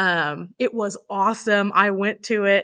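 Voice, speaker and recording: Against a quiet background, a woman with an American accent speaks at a medium pitch in a bright, sharp tone with fairly even intonation. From Oklahoma, small town. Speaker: tourism director. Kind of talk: interview.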